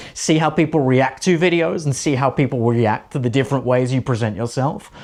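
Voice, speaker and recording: Speaking at a moderate pace, a man uses an animated tone with a fairly high pitch and ordinary pitch variation. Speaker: presenting coach. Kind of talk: tutorial. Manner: animated, high energy.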